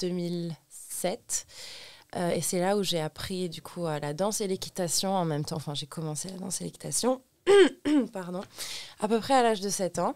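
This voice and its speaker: The woman's fairly low pitch shows ordinary variation. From Lebanon. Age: 20s. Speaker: cabaret dancer. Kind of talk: casual chat. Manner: halting.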